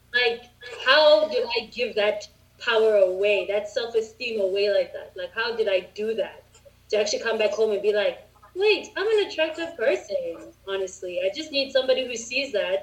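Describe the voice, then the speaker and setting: There is noticeable background noise. Over it, a woman speaks at a fairly high pitch with ordinary pitch variation. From South Africa. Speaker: English teacher. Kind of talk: casual chat. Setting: video call.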